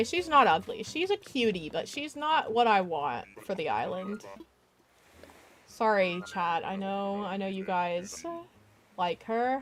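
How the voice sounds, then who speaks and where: Speaking at a fairly slow pace in an American accent, a woman with a plain, everyday voice keeps a medium pitch and lively intonation. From US South. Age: 20s. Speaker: gaming streamer. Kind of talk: casual chat. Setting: live stream.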